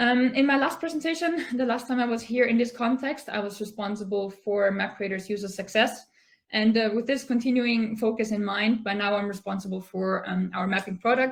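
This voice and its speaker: Speaking at a fairly quick pace with hardly any pauses, a woman with an Austrian accent has a somewhat breathy, fairly high-pitched voice with ordinary pitch variation. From Austria, Tyrol. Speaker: product manager at a mapping company. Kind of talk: conference talk.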